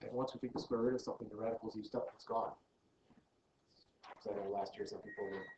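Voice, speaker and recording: Words pour out of a man at a very fast pace. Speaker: math teacher. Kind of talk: lecture.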